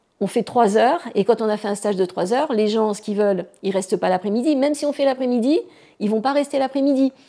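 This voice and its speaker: A woman's fairly high voice with a dark, mellow tone at a very fast pace, on a very clean recording with a silent background. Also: ordinary pitch variation. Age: 60s. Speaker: martial arts teacher. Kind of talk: interview. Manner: hesitant, many fillers.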